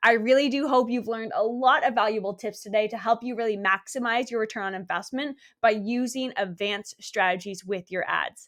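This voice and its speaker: Against a quiet background, a woman with a fairly high pitch sounds energetic and talks fairly quickly. She leaves hardly any pauses, and her pitch varies in an ordinary way. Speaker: social media marketing coach and podcast host. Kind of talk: podcast monologue, marketing tutorial. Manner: fast; energetic, emphatic.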